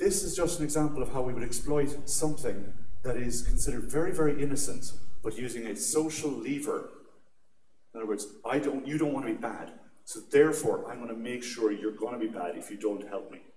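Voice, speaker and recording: A man with an Irish accent at a fairly high pitch and fairly quick pace, ordinary pitch variation, big swings in loudness, and audible room echo. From Ireland. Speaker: security conference speaker. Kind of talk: conference talk. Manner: animated.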